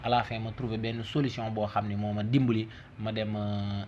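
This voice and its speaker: Noticeable background noise sits behind a man who speaks at a moderate pace in a fairly low pitch. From Senegal. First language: Wolof (speaking Italian). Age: 30s. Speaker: language teacher. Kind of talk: tutorial.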